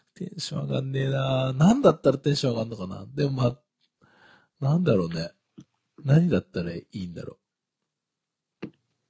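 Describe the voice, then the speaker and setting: A man speaks at a fairly quick pace with long, frequent pauses, a somewhat breathy, dark, mellow tone and very wide pitch swings. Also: medium pitch for a man, big swings in loudness. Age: 30s. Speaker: podcast co-host. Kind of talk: casual chat.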